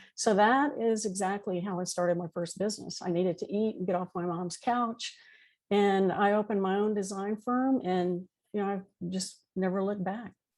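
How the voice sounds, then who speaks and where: A woman with an ordinary speaking voice talks at a moderate pace, with a medium pitch and fairly even intonation. The recording is very clean, with a silent background. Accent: American. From Texas, Houston. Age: 60s. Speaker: entrepreneur. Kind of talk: interview.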